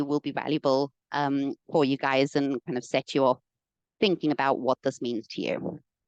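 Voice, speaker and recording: Against a quiet background, a woman speaks with a very deep, low pitch in a dry, close sound with no echo. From South Africa. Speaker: environmental consultant. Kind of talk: presentation. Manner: frequent fillers (um, uh).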